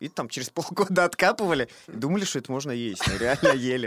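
A man speaks at a fairly quick pace with very wide pitch swings, in a dry, close sound with no echo. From Russia, Saint Petersburg. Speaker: theatre director. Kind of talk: casual chat.

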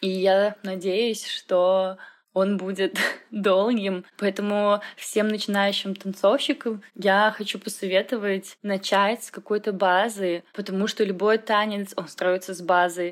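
A woman of medium pitch speaks at a very slow pace in a monotone, flat intonation. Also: big swings in loudness. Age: 20s. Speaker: fitness trainer and dance practitioner. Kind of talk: recorded testimony.

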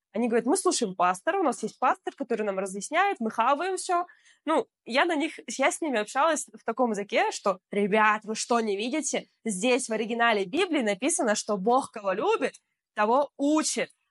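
A woman speaks at a moderate pace with a high pitch and very wide pitch swings. The sound is dry and close with no echo, over a quiet background. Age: 20s. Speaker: blogger. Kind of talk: casual chat.

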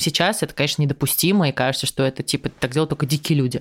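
Speaking at a very fast pace, a woman uses a very deep, low pitch with ordinary pitch variation on a very clean recording with a silent background. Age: 20s. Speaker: former TV presenter and podcaster. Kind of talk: casual interview chat.

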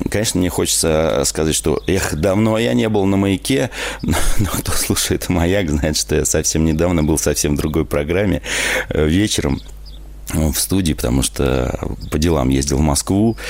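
With noticeable background noise behind him, a man with a very deep, low pitch speaks at a moderate pace, his intonation lively and his loudness very even. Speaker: radio host. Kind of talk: live radio call-in show. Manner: animated.

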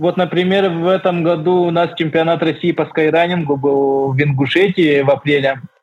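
With an unremarkable speaking voice, a man talks at a moderate pace in a fairly high pitch, his intonation fairly even and his loudness very even. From Yakutia, Russia (rural village). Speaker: skyrunner. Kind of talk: interview.

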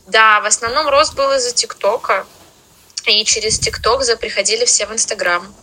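A woman talks at a very even loudness over noticeable background noise. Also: moderate pace. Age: 20s. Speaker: English teacher and language school founder. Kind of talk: podcast interview. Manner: halting.

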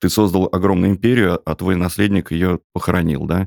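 A man's very deep, low voice at a fairly quick pace with fairly even intonation, dry and close with no echo, on a very clean recording with a silent background. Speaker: podcast host. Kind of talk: interview conversation. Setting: studio.

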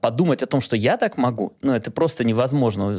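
A man with an unremarkable speaking voice, fairly quick in pace with ordinary pitch variation, on a very clean recording over a silent background. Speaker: film director. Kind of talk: casual interview chat.

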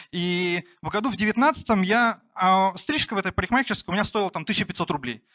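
In a very clean recording with a silent background, a man speaks with a bright, sharp tone in a dry, close sound with no echo. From rural Russia. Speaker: entrepreneur, barbershop founder. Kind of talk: personal storytelling talk. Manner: casual, many fillers.

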